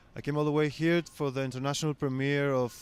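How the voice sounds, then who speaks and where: Heard in a very clean recording with a silent background, a man speaks with a Greek accent. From Greece, Athens. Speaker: film director. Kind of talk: interview. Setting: film festival. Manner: hesitant, many fillers.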